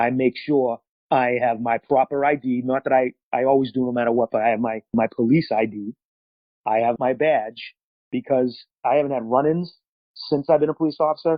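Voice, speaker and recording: A man with a Boston accent, medium pitch, fairly even intonation and a moderate pace. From Massachusetts, Boston area. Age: 40s. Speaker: police officer. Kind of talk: interview.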